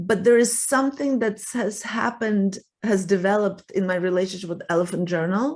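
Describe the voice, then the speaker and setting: This is a woman's voice. She speaks with a Russian accent. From Russia (Soviet Union). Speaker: writer and relationship coach. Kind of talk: interview conversation. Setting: podcast interview.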